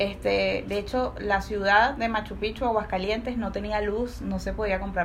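Noticeable background noise and audible room echo accompany a woman talking at a moderate pace. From Venezuela, Caracas. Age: 30s. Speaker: podcast guest. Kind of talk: casual chat.

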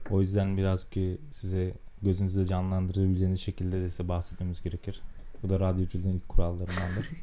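Room echo is audible around a man with a very deep, low pitch. He speaks very fast with monotone, flat intonation. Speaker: software engineer, podcast co-host. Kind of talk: casual chat. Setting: home studio.

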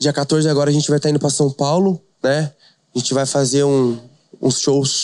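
A man at a fairly high pitch and fairly quick pace, flat and monotone, very even in loudness, in a dry, close sound with no echo. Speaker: DJ and funk artist. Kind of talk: casual chat.

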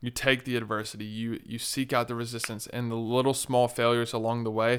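On a very clean recording with a silent background, a man talks at a fairly quick pace and medium pitch. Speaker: podcast host. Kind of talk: casual interview. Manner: energetic, enthusiastic.

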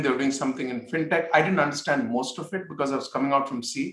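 Speaking at a very fast pace, a man with an Indian accent has a fairly high pitch. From northern India. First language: Hindi. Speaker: tech startup founder and executive. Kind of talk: interview.

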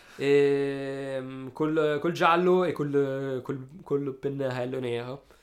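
A man's fairly high, monotone, flat voice at a very slow pace with hardly any pauses, over noticeable background noise. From Italy, Alessandria (Piedmont). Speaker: painter and street artist. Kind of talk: interview. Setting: studio. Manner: halting, many repetitions.

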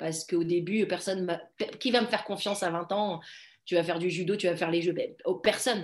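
Speaking at a fairly quick pace, a woman with a fairly low pitch keeps her intonation fairly even on a very clean recording with a silent background. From Morocco. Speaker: judo athlete. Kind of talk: interview. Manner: hesitant with fillers.

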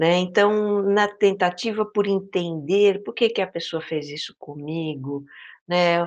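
A woman speaks at a medium pitch, with a quiet background. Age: 50s. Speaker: podcaster on mindfulness and inner life. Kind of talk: interview conversation. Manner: hesitant, many fillers.

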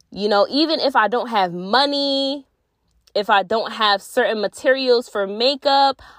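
With a plain, everyday voice, a woman speaks at a fairly slow pace, her fairly high pitch carrying lively intonation. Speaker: podcast host. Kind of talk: casual solo monologue. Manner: laughing often.

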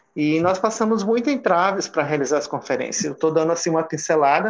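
Pitch varies in an ordinary way as the speech goes along at a fairly quick pace. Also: man. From Roraima, Brazil. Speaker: psychologist and LGBT activist. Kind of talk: interview.

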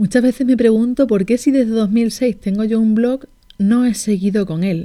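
A woman talks at a fairly slow pace with a Spanish accent. Her tone is dark and mellow. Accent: Spanish (Spain), Peninsular. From Barcelona, Spain. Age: 40. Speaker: life coach, podcast host. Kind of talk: personal storytelling monologue.

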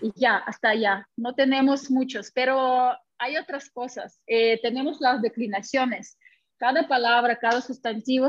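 A woman with a Russian accent, fairly high in pitch, at a fairly slow pace. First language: Russian (speaking Spanish). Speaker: language teacher. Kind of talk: interview. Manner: halting.

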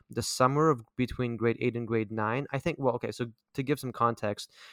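Using an ordinary speaking voice, a man talks fairly quickly at medium pitch with fairly even intonation. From Vancouver, Canada. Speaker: podcast host. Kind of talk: casual interview chat.

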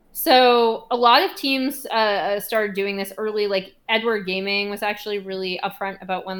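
In a very clean recording with a silent background, a woman with a normal speaking voice and medium pitch talks at a moderate pace. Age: 30s. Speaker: esports journalist. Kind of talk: casual interview chat.

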